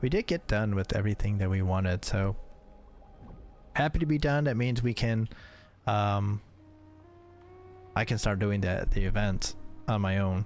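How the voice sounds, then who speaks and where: At a moderate pace, the speaker uses ordinary pitch variation and very even loudness, with long, frequent pauses. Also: man, fairly low pitch for a man. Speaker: vtuber streamer and librarian. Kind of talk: casual stream chat. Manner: halting, many repeated words and fillers.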